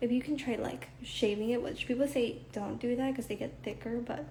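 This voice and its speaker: Fairly quick female speech against audible room echo. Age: 20s. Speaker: livestreamer and idol hopeful. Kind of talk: casual chat. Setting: Instagram live stream. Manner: filler-heavy, frequent 'like'.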